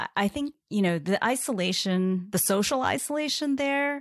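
In a very clean recording with a silent background, a woman with an American accent lets her pitch swing very widely. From US Midwest and Bible Belt. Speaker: design executive. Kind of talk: interview.

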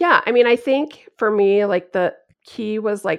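A woman talks at a moderate pace in an unremarkable speaking voice, medium in pitch with ordinary pitch variation. The background is quiet. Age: 40s. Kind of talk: casual interview.

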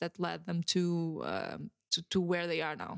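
The recording is very clean and dry, close with no echo and a silent background. A woman with a Portuguese accent speaks slowly-ish at a fairly low pitch in a monotone, flat way. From Portugal. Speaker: podcast host. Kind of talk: solo podcast monologue. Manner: hesitant, many fillers and repetitions.

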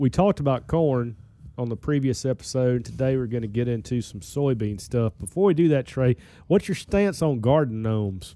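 An ordinary speaking voice, this man of medium pitch talks with lively intonation at a moderate pace on a very clean recording with a silent background. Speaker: podcast host, extension weed scientist. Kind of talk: casual conversational interview. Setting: studio. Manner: joking, bantering.

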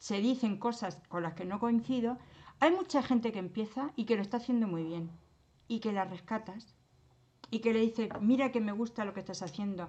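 A woman's fairly high-pitched voice with lively intonation at a moderate pace. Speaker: retired teacher. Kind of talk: casual chat. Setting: remote call. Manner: animated.

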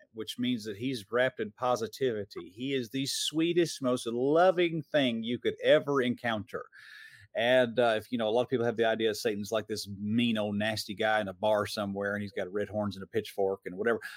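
Here is a man with an ordinary speaking voice at a medium pitch. He moves at a fairly quick pace with ordinary pitch variation. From US South, Metro Atlanta, Georgia. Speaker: preacher and filmmaker. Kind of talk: interview.

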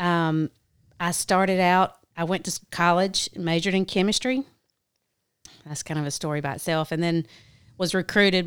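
On a very clean recording with a silent background, a woman speaks with a dry, close sound with no echo. Her pitch is fairly low with ordinary variation, and her pace is fairly quick. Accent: Southern US. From US South, South Carolina. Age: 40s. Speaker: business owner. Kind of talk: casual chat.

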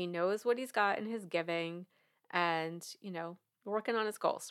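A woman with an American accent and a normal speaking voice, at a moderate pace with ordinary pitch variation, on a very clean recording with a silent background. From New York. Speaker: money coach and podcast host. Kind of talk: podcast monologue.

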